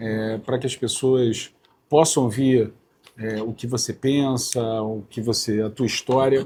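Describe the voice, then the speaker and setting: A man speaks in a medium pitch with a dark, mellow tone that is somewhat breathy. His intonation is fairly even, and he moves at a fairly slow pace with long, frequent pauses. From Rio de Janeiro, north zone. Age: 50s. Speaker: politician. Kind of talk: interview. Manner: hesitant with fillers.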